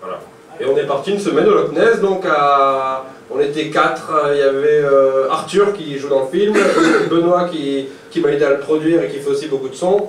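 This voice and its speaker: A man in a northern French accent, fairly quick and with lively intonation, amid audible room echo and noticeable background noise. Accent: northern French (Nord-Pas-de-Calais), kept. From northern France, Nord-Pas-de-Calais. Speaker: filmmaker. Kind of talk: live Q&A interview at screening. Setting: bar event with audience. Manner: hesitant, many fillers.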